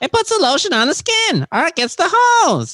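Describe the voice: Extremely high and nasal, this put-on character voice swings very widely in pitch. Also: moderate pace.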